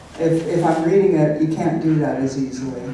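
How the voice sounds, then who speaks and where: Noticeable background noise is present throughout. Over it, a woman talks. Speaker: cowboy poet. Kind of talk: Q and A answer.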